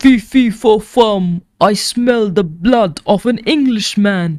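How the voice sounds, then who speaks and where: In a put-on character voice, the speaker bellows at a fairly high pitch. The pace is very slow. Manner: roaring.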